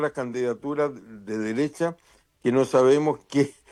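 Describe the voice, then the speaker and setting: A man at a fairly slow pace. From Chile. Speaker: political analyst. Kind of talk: radio interview.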